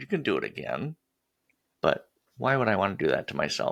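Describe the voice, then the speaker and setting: An American-accented man speaks at a fairly quick pace on a very clean recording with a silent background. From US Upper Midwest. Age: 60s. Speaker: podcast host. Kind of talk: casual interview chat.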